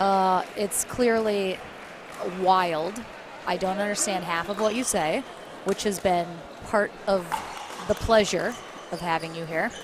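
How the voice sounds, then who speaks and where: Speaking with an American accent, a woman has a medium pitch and ordinary pitch variation. She moves at a fairly slow pace with long, frequent pauses over noticeable background noise. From United States. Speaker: sports commentator. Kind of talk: live commentary. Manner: animated.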